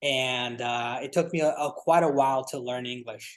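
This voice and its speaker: Against a quiet background, a man speaks at a moderate pace with a fairly high pitch and fairly even intonation. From Paris, France; moved to Portland, Oregon at 12. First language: French. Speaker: solar entrepreneur. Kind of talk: interview.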